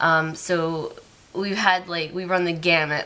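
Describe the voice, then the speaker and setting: A woman speaks fairly slowly in a very deep, low voice. There is noticeable background noise. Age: 20s. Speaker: vlogger. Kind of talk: casual vlog monologue. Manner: hesitant, many fillers.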